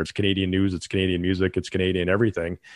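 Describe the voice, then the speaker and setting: A man speaks with a fairly low pitch. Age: 50s. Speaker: political commentator. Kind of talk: casual panel discussion.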